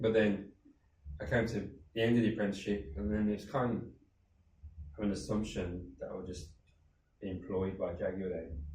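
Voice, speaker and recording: Somewhat breathy and fairly low-pitched, a man speaks at a moderate pace with long, frequent pauses amid audible room echo. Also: ordinary pitch variation. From Birmingham, England. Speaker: charity founder. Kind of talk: interview. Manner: conversational.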